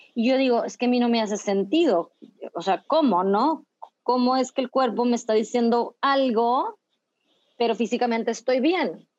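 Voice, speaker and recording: A woman speaks in a high voice at a moderate pace. Her pitch rises and falls in an ordinary way. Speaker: psychologist and dance facilitator. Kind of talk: casual interview. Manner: halting with repetitions.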